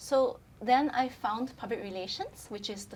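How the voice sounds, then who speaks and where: A woman with a Chinese accent, fairly slow in pace, with ordinary pitch variation. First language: Mandarin Chinese. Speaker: brand communications specialist. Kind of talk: casual chat.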